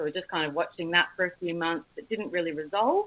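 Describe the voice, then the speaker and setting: With an Australian accent, a woman speaks at a fairly low pitch with ordinary pitch variation. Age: 20s. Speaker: cancer survivor. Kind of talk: testimony.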